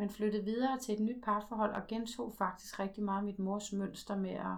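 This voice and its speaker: Keeping a monotone, flat intonation, a woman with a medium pitch talks at a moderate pace. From Denmark, Slagelse (Zealand). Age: 40s. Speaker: twelve-step group member. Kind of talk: testimony. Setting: at home. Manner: halting.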